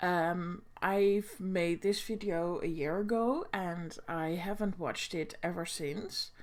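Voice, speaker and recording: A woman's medium-pitched voice with a Dutch accent, very slow pace, hardly any pauses and fairly even intonation, on a very clean recording with a silent background. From Netherlands. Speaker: booktuber. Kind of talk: reaction video commentary. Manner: halting, many fillers.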